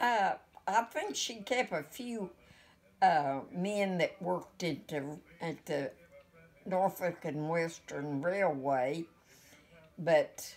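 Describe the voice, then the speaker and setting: With music in the background, a woman in an Appalachian accent speaks at a very slow pace with long, frequent pauses, using a fairly low pitch and lively intonation. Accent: Appalachian American. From West Virginia, USA. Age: 80s+. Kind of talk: interview answer. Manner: hesitant, reminiscing.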